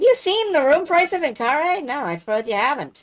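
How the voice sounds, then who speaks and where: This is a put-on character voice with a high pitch. It moves at a fairly quick pace. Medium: game stream. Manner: sly, chatty, folksy.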